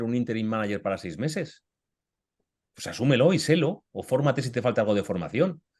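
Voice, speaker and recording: A man speaks at a very fast pace with lively intonation and a medium pitch. The background is quiet. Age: 50s. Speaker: author and career coach. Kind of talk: webinar Q&A discussion. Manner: animated.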